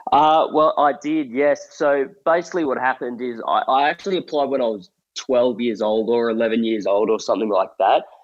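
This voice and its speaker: A man with an Australian accent speaks at a moderate pace. He leaves hardly any pauses. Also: medium pitch for a man, ordinary pitch variation. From rural New South Wales, Australia. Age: 20s. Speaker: comedian. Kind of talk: interview.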